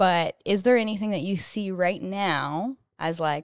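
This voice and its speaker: A woman's fairly low pitch with ordinary variation, an ordinary speaking voice, and a dry, close sound with no echo. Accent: Canadian. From Canada. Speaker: podcast co-host, real estate agent. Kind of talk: casual interview.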